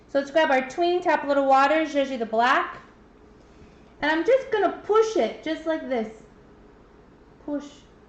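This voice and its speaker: A woman with a high pitch speaks at a moderate pace with lively intonation. She leaves long, frequent pauses. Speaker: painting instructor. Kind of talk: tutorial. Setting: livestream.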